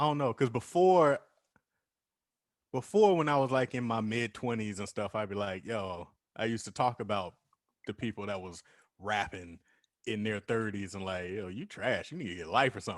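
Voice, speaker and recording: With long, frequent pauses, a man talks at a moderate pace in a fairly low voice with lively intonation, recorded very cleanly against a silent background. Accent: American. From US West Coast, San Jose, California. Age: 30s. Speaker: rapper. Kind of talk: casual chat.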